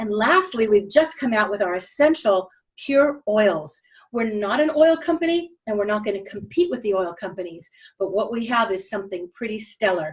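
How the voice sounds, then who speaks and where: A somewhat breathy woman with a fairly high pitch sounds animated, using very wide pitch swings at a moderate pace. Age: 60s. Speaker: network marketing presenter. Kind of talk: sales pitch.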